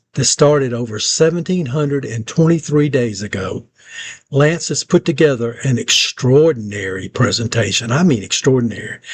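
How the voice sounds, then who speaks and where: A man with an American accent speaks at medium pitch with ordinary pitch variation. His voice is somewhat breathy. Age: 60s. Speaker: local video producer and presenter. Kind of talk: scripted narration.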